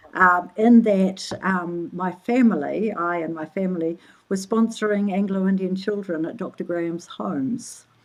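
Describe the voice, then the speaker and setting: A woman talks at a medium pitch. She speaks with a New Zealand accent. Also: ordinary pitch variation, moderate pace, hardly any pauses, big swings in loudness. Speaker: social anthropologist. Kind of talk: interview conversation. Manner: halting, many fillers.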